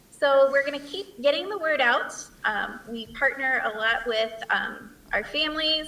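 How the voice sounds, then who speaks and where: Projecting a raised voice at a high pitch, a woman speaks at a fairly slow pace with ordinary pitch variation over noticeable background noise. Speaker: school principal. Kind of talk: presentation.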